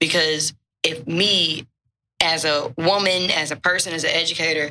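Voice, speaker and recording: In a normal speaking voice, a woman talks at a fairly low pitch. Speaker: educator and writer. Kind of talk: casual chat.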